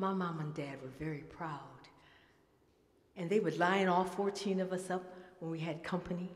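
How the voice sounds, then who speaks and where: Someone with an American accent talks at a moderate pace, with audible room echo. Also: woman. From Detroit, US Midwest. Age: 70s. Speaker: musician and storyteller. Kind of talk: storytelling performance. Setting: stage with audience.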